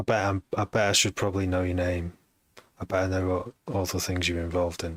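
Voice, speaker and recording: A man with a Manchester accent speaks at a fairly quick pace in a very deep, low pitch with monotone, flat intonation. The sound is dry and close with no echo, on a very clean recording with a silent background. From Manchester, northern England. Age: 40s. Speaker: music producer and DJ. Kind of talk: live stream chat. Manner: halting.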